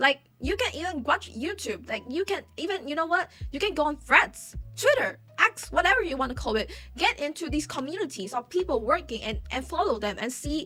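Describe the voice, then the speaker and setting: A woman's raised, projected voice, high-pitched with very wide pitch swings, at a fairly quick pace with a non-native accent. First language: not English. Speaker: YouTuber commentator. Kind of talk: casual commentary. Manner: halting.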